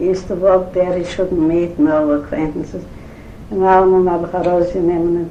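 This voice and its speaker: Amid noticeable background noise and audible room echo, a woman with a fairly low pitch talks at a moderate pace with fairly even intonation. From Eastern Europe. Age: 80s+. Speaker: grandmother interviewed about her life. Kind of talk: oral history interview. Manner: halting.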